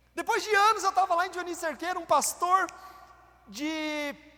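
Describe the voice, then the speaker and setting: A man with a Paraná accent uses a raised, projected voice with a bright, sharp tone. His intonation is lively. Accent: Paraná Portuguese with retroflex R. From Brazil, Paraná. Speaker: pastor. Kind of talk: sermon. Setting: church.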